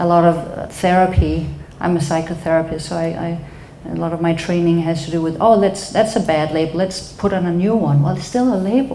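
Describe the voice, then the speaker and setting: Speaking at a fairly quick pace with an ordinary pitch variation, a woman with a Danish accent uses a fairly low pitch, amid audible room echo and noticeable background noise. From Denmark. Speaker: psychotherapist and speaker. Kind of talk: talk at a live event.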